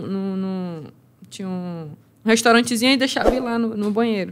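The intonation stays fairly even at a moderate pace. Light background noise sits behind the voice. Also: woman. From Amazonas, Brazil. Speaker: MMA fighter; guest. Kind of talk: casual chat. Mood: reflective storytelling. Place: studio. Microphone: studio mic.

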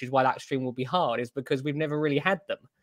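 Recorded with a dry sound, no echo and a quiet background, a man speaks at a very fast pace. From UK. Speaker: coral shop owner. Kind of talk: casual chat. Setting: video call. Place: home room. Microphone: video call.

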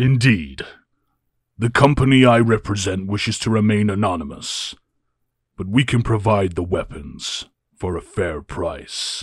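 Putting on a character voice, a man with a fairly low pitch speaks at a moderate pace with long, frequent pauses. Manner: cold, curt, businesslike.

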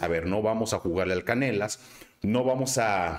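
A man speaks in a Guadalajara accent at a fairly slow pace. His delivery is sing-song. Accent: Mexican, Guadalajara sing-song.

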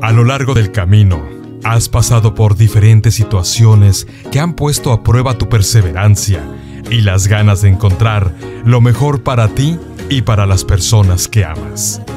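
Over music in the background, a man with a Mexican accent talks at a fairly slow pace in a fairly low voice with ordinary pitch variation. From Mexico. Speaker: voice actor. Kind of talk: inspirational commercial narration.

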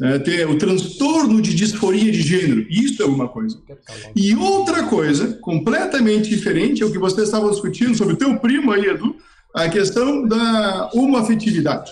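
Over noticeable background noise, a man with a high pitch talks at a moderate pace with lively intonation. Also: very even loudness. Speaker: psychiatrist. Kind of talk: expert explanation. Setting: video call. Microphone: poor audio with long delay.

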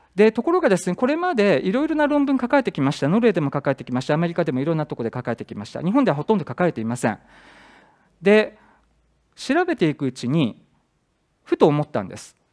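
Against a quiet background, a man races along at a very fast pace, his high pitch making very wide swings. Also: big swings in loudness. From Japan. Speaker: university professor. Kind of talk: conference presentation. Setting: conference hall with audience. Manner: hesitant, many fillers. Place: hall.

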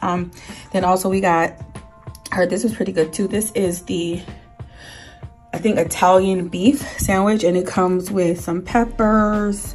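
Moderate pace with long, frequent pauses, fairly even intonation, and faint music in the background. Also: woman. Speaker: food vlogger. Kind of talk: casual vlog chat. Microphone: phone near.

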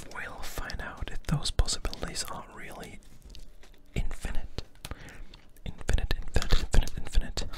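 A man speaks softly over loud background noise. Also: moderate pace. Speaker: ASMR creator. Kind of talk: soft-spoken ASMR chat. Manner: soft close-mic ASMR murmur. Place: home room. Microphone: studio mic.

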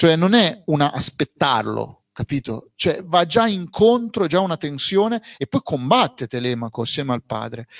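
Against a quiet background, the voice moves fairly slowly through very wide pitch swings. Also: man, fairly high pitch for a man. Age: 40s. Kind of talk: book presentation interview. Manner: plain and direct. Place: shop. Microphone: handheld.

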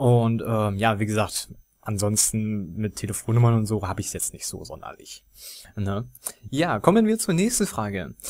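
A man talks in an ordinary speaking voice at a fairly low pitch, with ordinary pitch variation and a moderate pace. His loudness swings widely, and the recording is very clean with a silent background. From Germany. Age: 20s. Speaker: gaming YouTuber. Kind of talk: casual Q&A monologue.

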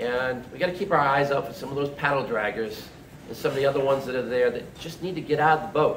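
Audible room echo and light background noise surround the recording. A man with a fairly high pitch speaks at a very fast pace with ordinary pitch variation. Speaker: speaker at political meeting. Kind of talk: speech at campaign event. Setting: event with live audience. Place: bar. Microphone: phone near.

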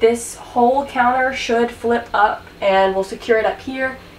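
Light background noise and audible room echo accompany a woman's speech. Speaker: DIY vlogger. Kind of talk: casual vlog tour. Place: bus. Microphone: camera far.

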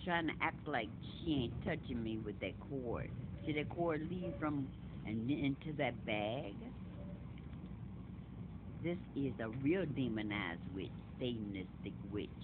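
A man speaks at a fairly slow pace with long, frequent pauses. Noticeable background noise is present. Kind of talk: casual commentary to camera. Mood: agitated, accusing. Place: train. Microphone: phone near.

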